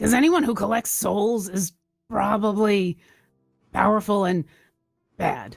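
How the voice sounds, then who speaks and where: A raspy, female-sounding put-on character voice at a medium pitch for a woman speaks at a moderate pace with long, frequent pauses over music in the background. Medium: actual play.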